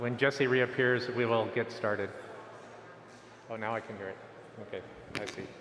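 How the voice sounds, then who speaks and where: At a moderate pace, the speech has long, frequent pauses and big swings in loudness, with audible room echo. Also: man, medium pitch for a man. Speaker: type designer presenting at a symposium. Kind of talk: conference talk. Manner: projects loudly when he can't hear himself; halting, many restarts.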